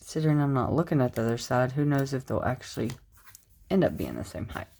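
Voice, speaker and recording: A woman's very deep, low voice, dark and mellow in tone, relaxed. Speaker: planner decorating vlogger. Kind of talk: casual tutorial narration. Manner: relaxed, chatty.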